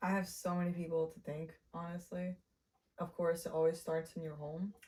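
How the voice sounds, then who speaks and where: In a fairly low pitch, a woman speaks with a dark, mellow tone that is somewhat breathy. Her intonation is monotone and flat, at a moderate pace. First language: Spanish. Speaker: independent filmmaker. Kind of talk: casual interview.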